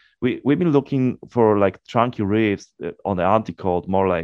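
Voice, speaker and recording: In a Polish accent, a man with a fairly low pitch speaks at a moderate pace. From Poland. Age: 40s. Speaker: death metal guitarist. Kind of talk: interview.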